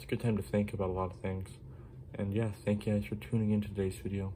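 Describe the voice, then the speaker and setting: Soft-spoken and fairly quick, the voice moves with ordinary pitch variation. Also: man. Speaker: fishing YouTuber. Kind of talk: gear show-and-tell video. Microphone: no external mic, quiet recording.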